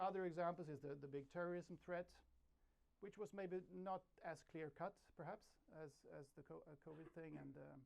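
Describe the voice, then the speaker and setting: With a Swedish accent, a man speaks at a high pitch with fairly even intonation. His loudness swings widely, and he takes long, frequent pauses. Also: moderate pace. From Sweden. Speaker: journalist. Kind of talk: conference talk. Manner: halting, many repetitions.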